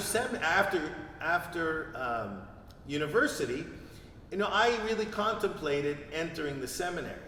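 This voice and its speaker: A man with a Montreal accent speaks at a moderate pace and fairly high pitch, with lively intonation and long, frequent pauses. Audible room echo and noticeable background noise surround him. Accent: Canadian English, Montreal. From Quebec, Montreal. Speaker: priest. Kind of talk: interview. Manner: halting.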